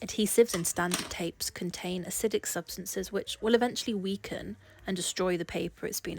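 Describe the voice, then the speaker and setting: A woman with an English accent, medium in pitch, talking at a fairly quick pace with fairly even intonation. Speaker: portrait artist. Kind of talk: tutorial voice-over.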